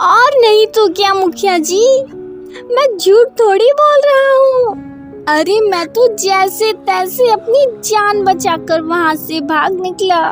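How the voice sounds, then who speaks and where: Over clear background music, a cartoonish character voice moves at a very slow pace. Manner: excitable, panicky.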